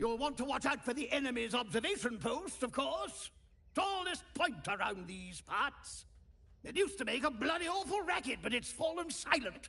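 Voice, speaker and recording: Putting on a character voice, a man pitches it extremely high and keeps a moderate pace. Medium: video game. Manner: brusque, commanding.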